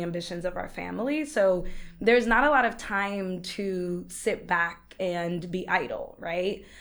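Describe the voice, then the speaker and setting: Her voice sits at a medium pitch. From New York, the Bronx. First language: Spanish. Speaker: entrepreneur. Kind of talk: podcast interview.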